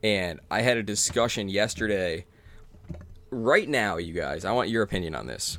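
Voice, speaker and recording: A man speaks at a moderate pace with a fairly low pitch. His intonation is lively, and vocal fry runs through his voice. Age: 20s. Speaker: sports podcast host. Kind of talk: casual chat.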